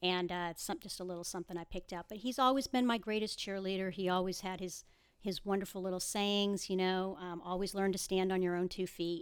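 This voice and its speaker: A woman of medium pitch talks at a fairly quick pace with hardly any pauses. Her intonation stays fairly even, and the recording is very clean over a silent background. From Boston area, US. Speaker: title company business development rep. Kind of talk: interview. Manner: fast.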